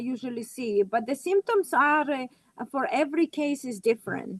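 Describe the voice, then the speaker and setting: With a non-native accent, a woman speaks in a dry, close sound with no echo. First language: not English. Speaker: natural health practitioner. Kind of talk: casual chat. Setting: live video stream. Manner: halting.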